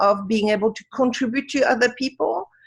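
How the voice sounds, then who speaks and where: A woman speaks in a fairly high voice with a French accent. Her pitch rises and falls in an ordinary way. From Africa. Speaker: wisdom teacher. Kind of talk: interview. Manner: halting.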